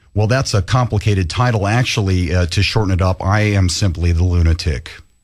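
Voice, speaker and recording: A man talks at a fairly quick pace in a very deep, low, somewhat breathy voice. His loudness stays very even and his pitch varies in an ordinary way. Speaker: tribute band founder and attorney. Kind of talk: radio interview.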